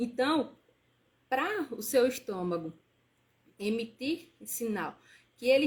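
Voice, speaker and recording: The woman's fairly high voice moves in very wide pitch swings. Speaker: nutritionist. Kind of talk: live stream talk. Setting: live stream.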